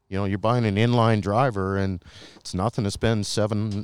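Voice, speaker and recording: On a very clean recording with a silent background, a man speaks in an ordinary speaking voice, fairly low in pitch, at a fairly quick pace with fairly even intonation. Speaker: golf club fitting expert. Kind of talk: interview. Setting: golf fitting center.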